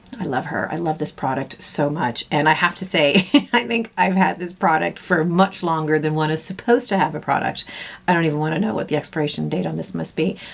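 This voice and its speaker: A woman's very deep, low voice with lively intonation at a fairly quick pace, against noticeable background noise. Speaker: beauty vlogger. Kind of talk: casual makeup tutorial.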